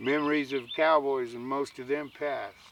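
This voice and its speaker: Speech moves at a fairly slow pace over noticeable background noise. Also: man. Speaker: cowboy poet, Vietnam veteran. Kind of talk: poetry reading.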